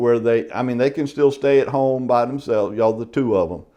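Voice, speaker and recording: Against a quiet background, a man with a Southern US accent speaks at medium pitch and a moderate pace. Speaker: real estate exam instructor. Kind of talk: lecture. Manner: casual, conversational.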